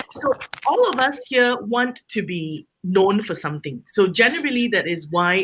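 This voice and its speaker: At a moderate pace, a woman talks loudly with lively intonation. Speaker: home baker and small business owner. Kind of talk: panel discussion. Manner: outspoken.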